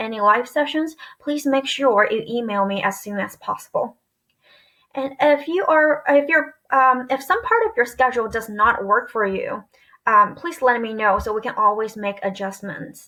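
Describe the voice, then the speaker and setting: A woman speaks at a moderate pace in a high pitch with ordinary pitch variation. Her tone is bright and sharp. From China. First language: Chinese. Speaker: elementary school teacher. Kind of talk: presentation to parents.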